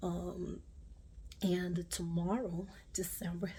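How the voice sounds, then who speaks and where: A woman speaks with a Brazilian accent. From Brazil, Rio de Janeiro. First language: Portuguese. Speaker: craft YouTuber. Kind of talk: personal vlog update. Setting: home video recording with ring light. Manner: halting, many fillers.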